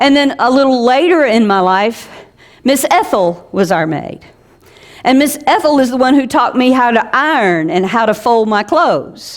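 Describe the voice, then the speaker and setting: A woman in an Alabama accent, high-pitched, at a moderate pace, with very even loudness and very wide pitch swings. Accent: Southern US (Alabama). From US South, South Alabama. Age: 60s. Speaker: pastor. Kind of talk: sermon.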